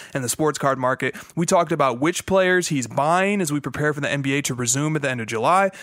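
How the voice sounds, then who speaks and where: Against a quiet background, a man talks at a fairly quick pace with ordinary pitch variation in a dry sound with no echo. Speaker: podcast host. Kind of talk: podcast announcement. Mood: upbeat, a bit playful. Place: home room. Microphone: studio mic.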